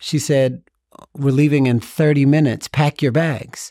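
A man talks at a medium pitch and moderate pace. The recording is very clean, with a silent background. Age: 40s. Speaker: transformational speaker and author. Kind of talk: interview conversation.

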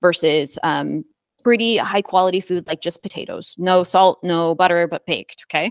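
On a very clean recording with a silent background and a dry, close sound with no echo, a woman speaks in a plain, everyday voice with a fairly low pitch and ordinary pitch variation. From US Midwest. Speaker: fitness and nutrition coach, company founder. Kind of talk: casual interview.

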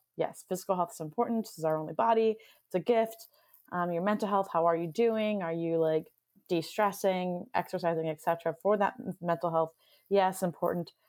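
A woman's medium pitch with ordinary pitch variation in a plain, everyday voice, over a very clean recording with a silent background. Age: 30s. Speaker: podcast host. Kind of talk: casual interview.

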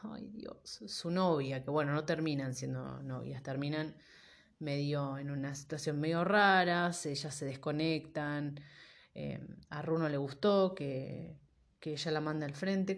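This woman's pitch is very deep and low, with ordinary variation. She speaks at a fairly slow pace. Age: 30s. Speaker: podcaster. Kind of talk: casual solo monologue.

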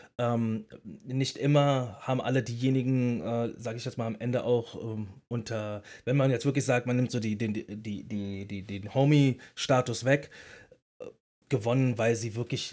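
In a very clean recording with a silent background, a man uses a normal speaking voice at a medium pitch and moderate pace, with fairly even intonation. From Berlin. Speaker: podcast co-host, former battle rapper. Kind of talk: casual chat.

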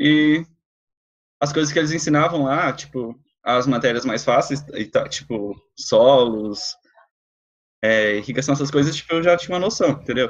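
Pausing long and often, a man speaks with a fairly high pitch and ordinary pitch variation. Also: moderate pace. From Mato Grosso do Sul, Brazil. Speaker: agricultural engineering student. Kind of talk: casual chat.

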